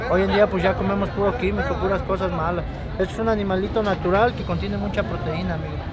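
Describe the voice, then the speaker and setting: Crowd noise fills the background as a man talks at a very fast pace. The sound is dry, with no echo. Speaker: street snack vendor. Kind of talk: interview answer. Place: street. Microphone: phone near.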